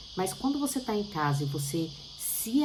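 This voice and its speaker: Noticeable background noise runs beneath this woman's speech. The room adds an audible echo. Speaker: bible teacher. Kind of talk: bible study talk.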